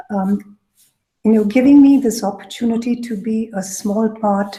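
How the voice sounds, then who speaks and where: A soft-spoken woman at a moderate pace, her intonation fairly even. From Coorg, southern India. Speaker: food writer and researcher. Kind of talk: lecture.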